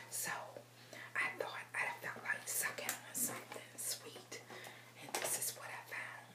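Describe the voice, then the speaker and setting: Someone whispers at a fairly slow pace. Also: woman. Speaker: ASMR creator. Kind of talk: ASMR whispering. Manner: whispered. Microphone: phone near.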